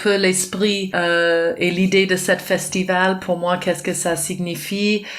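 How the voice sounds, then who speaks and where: At a very slow pace and with fairly even intonation, the voice carries a non-native accent over noticeable background noise. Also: woman. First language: not French (speaking French). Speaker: dance teacher and festival organizer. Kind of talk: interview. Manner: halting, many hesitations.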